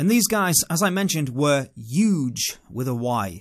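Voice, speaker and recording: A man with a British accent and fairly high pitch, animated in tone with very wide pitch swings, in a very clean recording over a silent background. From England. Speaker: vlogger. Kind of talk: storytelling monologue.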